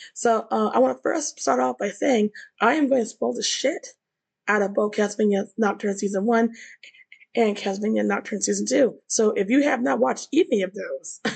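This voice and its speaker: A woman's fairly high voice with vocal fry and very wide pitch swings, over a quiet background. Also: moderate pace. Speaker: YouTuber discussing anime and TV. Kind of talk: casual commentary video. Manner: halting, many fillers and repetitions; animated.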